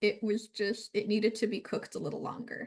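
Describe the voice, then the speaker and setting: Fairly high in pitch and somewhat breathy, a woman speaks at a moderate pace. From Romania. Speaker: book reviewer. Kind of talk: casual chat.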